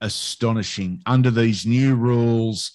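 Against a quiet background, a man with an Australian accent speaks at a very slow pace. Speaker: sports commentator. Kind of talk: casual interview chat.

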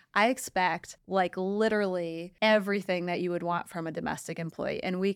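With an American accent, a woman speaks fairly quickly in an ordinary speaking voice, her intonation fairly even. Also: very clean recording, silent background. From Detroit, Michigan, US. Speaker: property management entrepreneur, CEO of staffing firm. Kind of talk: casual interview.

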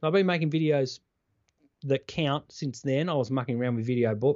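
With an Australian accent, a man talks in a fairly high pitch, his intonation lively and his tone energetic. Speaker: former TV reporter, keynote speaker. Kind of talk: interview conversation.

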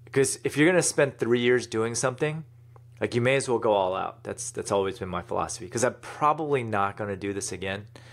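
Fairly quick in pace, a man with an unremarkable speaking voice talks at medium pitch with ordinary pitch variation. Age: 40s. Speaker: e-commerce entrepreneur and author. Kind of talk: interview.

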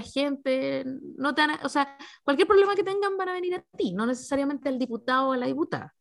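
Fast-moving at a fairly quick pace, a woman with a Chilean accent speaks at a high pitch with lively intonation. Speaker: podcast host. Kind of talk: interview.

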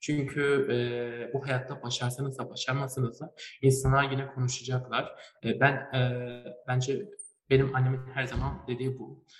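Medium-pitched male voice in a monotone, flat delivery, with music in the background. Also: moderate pace. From Turkey, Malatya. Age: young. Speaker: chemical engineering student and young inventor. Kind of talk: interview. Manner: hesitant, many fillers.

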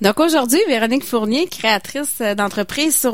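In a Quebec accent, a woman talks at a fairly slow pace with a fairly high pitch and lively intonation, in a very clean recording with a silent background. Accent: Québécois French. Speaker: community radio co-host. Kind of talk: radio interview.

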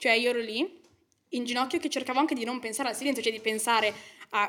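This woman's voice is fairly high in pitch. It has a bright, sharp tone. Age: young. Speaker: law student. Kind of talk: podcast interview.

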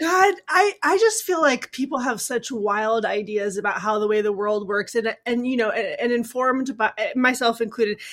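An animated woman with lively intonation at a moderate pace, hardly any pauses, against a quiet background. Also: fairly high pitch for a woman. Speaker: podcast co-host and actor. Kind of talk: casual chat.

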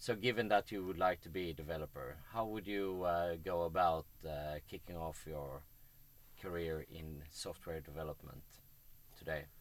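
Speaking in a Swedish accent, a man uses a very deep, low pitch with ordinary pitch variation at a fairly slow pace. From Sweden. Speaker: podcast host. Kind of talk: casual interview.

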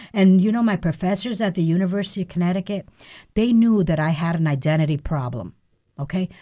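In a very clean recording with a silent background, a woman speaks at a very fast pace and fairly low pitch, somewhat breathy, with a dark, mellow tone and ordinary pitch variation. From Puerto Rico. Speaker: newspaper and radio executive. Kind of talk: casual interview chat.

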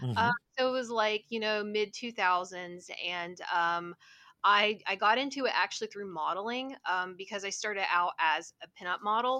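A woman with a West Virginia accent speaks at a moderate pace, her medium pitch showing ordinary variation. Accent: West Virginian Appalachian. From West Virginia, US. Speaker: cosplayer. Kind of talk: casual interview.

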